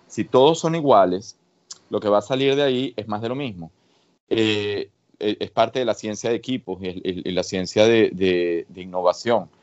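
A man with a plain, everyday voice, fairly low in pitch with ordinary pitch variation, at a fairly slow pace. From Venezuela. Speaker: researcher. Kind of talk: interview.

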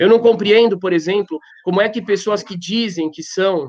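This man's voice is high in pitch, with ordinary pitch variation. He speaks at a moderate pace. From Brazil. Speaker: rabbi. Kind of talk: panel discussion. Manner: impassioned.

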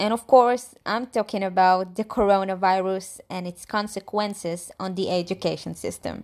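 In a very clean recording with a silent background, a woman with a plain, everyday voice speaks at medium pitch and a moderate pace, her intonation fairly even, her loudness swinging widely, and hardly any pauses. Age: 20s. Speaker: student. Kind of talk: scripted monologue.

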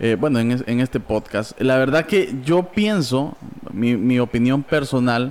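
This man has an unremarkable speaking voice at a medium pitch and a fairly slow pace. His intonation is lively and his loudness very even. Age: 20s. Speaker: church member and podcast host. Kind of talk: casual chat.

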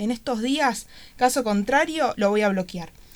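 This woman has a fairly high pitch and an ordinary speaking voice. Her pitch varies in an ordinary way, and the recording is very clean with a silent background. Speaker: art teacher. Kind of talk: radio interview.

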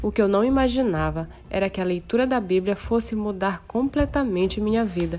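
A woman's voice with ordinary pitch variation against noticeable background noise. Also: medium pitch for a woman, moderate pace. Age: 30s. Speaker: church youth leader. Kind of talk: testimony.

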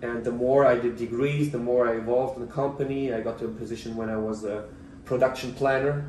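A man with a Russian accent at a very fast pace, medium pitch, and monotone, flat intonation, with audible room echo and noticeable background noise. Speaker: writer. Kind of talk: casual chat.

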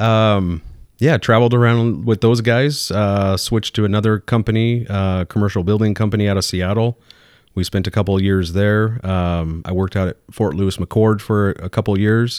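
The speaker has an American accent, fairly even intonation and a moderate pace. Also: man. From Southern California. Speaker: construction professional and guest. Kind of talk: casual chat.

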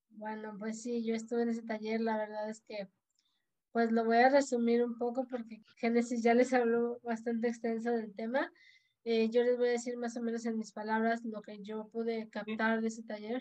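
Her tone is dark and mellow, her pitch fairly high, as a woman speaks at a moderate pace. The intonation is monotone and flat. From Tampico, Tamaulipas, Mexico. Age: 30s. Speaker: dentist and church keyboard player. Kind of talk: casual faith conversation, personal testimony.

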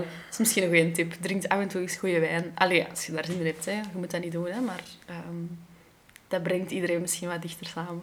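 Noticeable background noise sits under a fairly quick voice with monotone, flat intonation. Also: woman, fairly low pitch for a woman. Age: 20s. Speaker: podcast host. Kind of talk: casual chat.

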